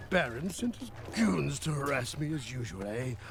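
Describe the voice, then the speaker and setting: Over loud background noise, a man uses a put-on character voice at a medium pitch and a moderate pace. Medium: video game. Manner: sly, greedy.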